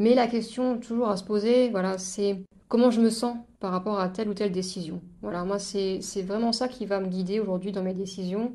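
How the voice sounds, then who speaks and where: The tone is dark and mellow, with fairly even intonation. The speech moves at a moderate pace. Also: woman, medium pitch for a woman. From eastern France, Moselle. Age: 30s. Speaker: podcast guest sharing life story. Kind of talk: casual interview chat. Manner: hesitant, many fillers and repetitions.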